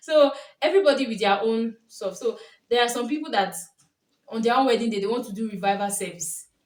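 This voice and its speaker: With a Nigerian accent, a woman speaks at a moderate pace, fairly high in pitch, with ordinary pitch variation. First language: Yoruba. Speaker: YouTuber, lifestyle vlogger. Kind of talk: casual vlog monologue. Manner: animated.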